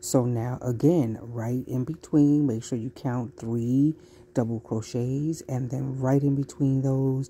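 Slow and fairly even in intonation, a woman speaks in an extremely low voice with a dark, mellow tone.

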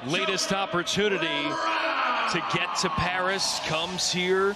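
There is noticeable background noise. Through it, a man can be heard talking. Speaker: sports commentator. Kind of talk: live sports commentary, wrestling play-by-play. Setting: broadcast of a live event.

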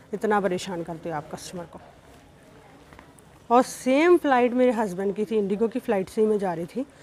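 The woman talks at a fairly slow pace. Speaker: travel vlogger. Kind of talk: casual vlog chat. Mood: annoyed, complaining. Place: station. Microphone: phone near.

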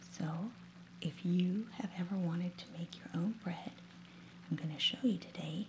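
A soft-spoken woman talks at a moderate pace with a fairly low pitch and ordinary pitch variation. Light background noise sits behind her. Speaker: ASMR creator. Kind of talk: ASMR soft-spoken cooking demonstration. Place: kitchen.

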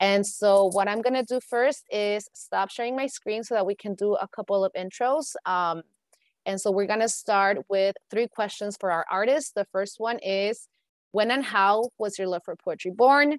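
A woman speaks at a moderate pace with ordinary pitch variation. The background is quiet and the sound dry with no echo. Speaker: event host / emcee. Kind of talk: event hosting, welcoming an audience. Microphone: video call.

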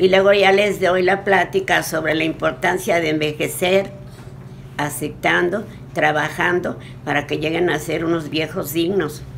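Over light background noise, a woman with a very deep, low pitch speaks at a fairly slow pace with long, frequent pauses. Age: 80s+. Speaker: motivational speaker. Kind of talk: interview answer. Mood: warm, encouraging. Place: home room. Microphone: phone near.

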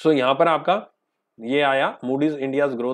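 With a normal speaking voice, a man speaks at a fairly high pitch with ordinary pitch variation against a quiet background. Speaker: teacher. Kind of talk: lecture. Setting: live online class.

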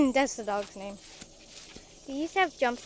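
The speaker moves at a fairly slow pace with lively intonation and noticeable vocal fry. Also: woman.

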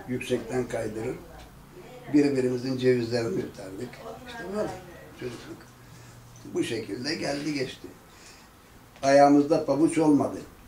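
A man at a moderate pace with ordinary pitch variation, big swings in loudness and long, frequent pauses, amid audible room echo and light background noise. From Ertuğrul neighborhood, Tire, Izmir region, Turkey. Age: 70s. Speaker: elderly local resident telling oral history. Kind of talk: oral history interview. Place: home room. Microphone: camera far.

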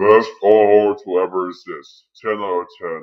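A man uses a put-on character voice pitched fairly low. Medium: dub.

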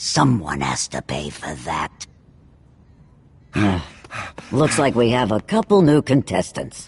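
A man puts on a character voice at a slow pace, fairly low in pitch with big pitch swings. His slightly mellow tone carries vocal fry and a husky, rough edge.

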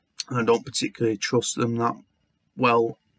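A man is heard in a dry sound with no echo over a quiet background. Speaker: vlogger. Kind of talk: casual talk to camera. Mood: heartfelt, sincere, supportive. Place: home room. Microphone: webcam.

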